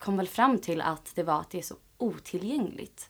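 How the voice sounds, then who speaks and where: A woman speaks in a plain, everyday voice at medium pitch and moderate pace, with ordinary pitch variation. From Sweden, Åkersberga. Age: 20s. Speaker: yoga teacher and project founder. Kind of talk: interview.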